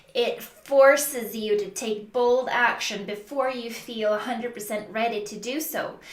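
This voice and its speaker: Amid noticeable background noise and audible room echo, the speech comes at a fairly slow pace with fairly even intonation. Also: woman. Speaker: business coach. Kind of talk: tutorial.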